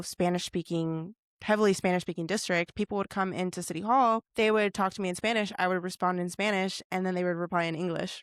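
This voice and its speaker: Recorded very cleanly with a silent background and a dry, close sound with no echo, a woman at medium pitch speaks in a plain, everyday voice with fairly even intonation. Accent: American. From Oregon, US Pacific Northwest. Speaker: podcast host. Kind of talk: podcast interview.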